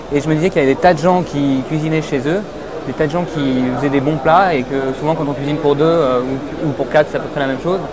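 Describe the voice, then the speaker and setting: A man with a fairly high pitch talks at a very fast pace, his intonation fairly even. Audible room echo and noticeable background noise fill the recording. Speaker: startup founder. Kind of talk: interview. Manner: halting, many hesitations.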